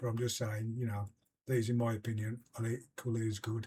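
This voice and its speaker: Somewhat breathy, a man speaks with a British accent. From UK. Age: 70s. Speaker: investing vlogger. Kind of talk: casual explainer video. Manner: halting, many fillers.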